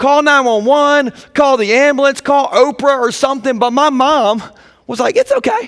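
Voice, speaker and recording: In an American accent, a man with an extremely high pitch speaks in an animated tone with ordinary pitch variation. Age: 30s. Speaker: pastor. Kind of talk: sermon.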